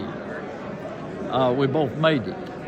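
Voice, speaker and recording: A Southern US accent with ordinary pitch variation, set against noticeable background noise. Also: man. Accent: Southern American. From Tennessee. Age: 80s+. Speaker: retired pastor. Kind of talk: personal testimony interview.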